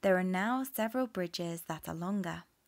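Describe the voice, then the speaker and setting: A woman's medium-pitched voice with a British accent and ordinary pitch variation, in a very clean recording over a silent background. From England. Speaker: English teacher. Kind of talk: listening comprehension reading for learners. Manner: slow, clear.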